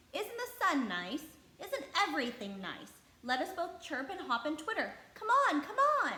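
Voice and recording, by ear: A woman does a put-on character voice, high-pitched with big pitch swings and a bright, sharp tone. She keeps a moderate pace, and room echo is audible.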